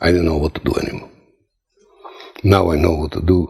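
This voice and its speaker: With a Croatian accent, a man speaks in a very deep, low pitch. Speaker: testimonial giver, former sailor. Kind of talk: testimony. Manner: halting.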